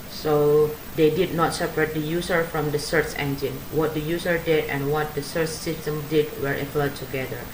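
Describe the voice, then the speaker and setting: A woman with a very deep, low pitch at a moderate pace, with audible room echo and noticeable background noise. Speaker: graduate student. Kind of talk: academic paper presentation. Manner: halting, many fillers.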